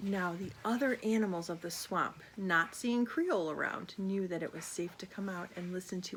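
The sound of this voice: The delivery is an unforced reading voice with ordinary pitch variation.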